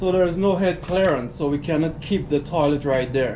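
Music in the background behind a man's fairly slow speech and ordinary pitch variation. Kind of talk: casual renovation vlog commentary. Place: empty room. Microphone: phone near.

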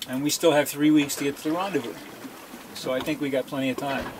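Against noticeable background noise, a man talks at a fairly quick pace with ordinary pitch variation. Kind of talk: casual vlog chat. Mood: relaxed, content. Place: boat. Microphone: phone near.

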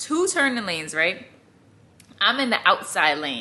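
The woman talks at a fairly quick pace. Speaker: vlogger. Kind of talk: casual vlog chat. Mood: exasperated, amused. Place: home room. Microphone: phone near.

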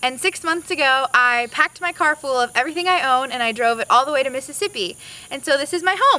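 A woman speaks at a very fast pace in a raised, projected voice, high-pitched with ordinary pitch variation, in a dry sound with no echo. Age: 20s. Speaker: recent college graduate. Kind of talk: casting video talk to camera. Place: street.

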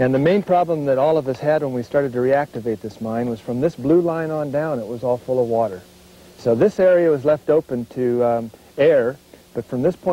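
A man at a fairly quick pace, with ordinary pitch variation and a dry sound with no echo. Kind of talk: interview answer. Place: open country.

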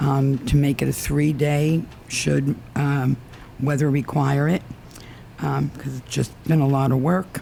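The speaker is soft-spoken and goes at a fairly slow pace. Long pauses come often. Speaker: resident speaking at public comment. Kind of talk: public comment at council meeting. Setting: town council meeting with microphone. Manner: hesitant, many fillers.

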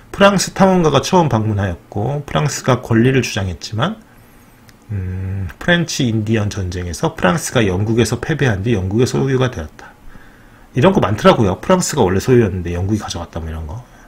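A man with a medium-pitched voice swings widely in pitch and loudness, with noticeable background noise in the recording. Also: fairly quick pace. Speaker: educational YouTuber. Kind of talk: casual commentary reading from screen. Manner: conversational, frequent fillers.

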